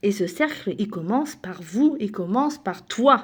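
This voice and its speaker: Her pitch swinging very widely, a woman is speaking. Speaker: self-help speaker. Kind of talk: motivational talk. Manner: halting.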